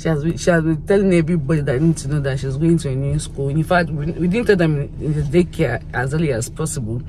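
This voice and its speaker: At a very fast pace, a woman with a very deep, low pitch speaks with hardly any pauses. Her pitch variation is ordinary, and noticeable background noise is present. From Nigeria. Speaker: vlogger. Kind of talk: vlog. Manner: halting.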